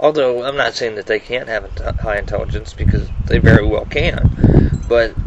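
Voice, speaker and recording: There is noticeable background noise behind the speaker. He is a man talking at a moderate pace. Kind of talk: personal video monologue. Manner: halting, many fillers and repetitions.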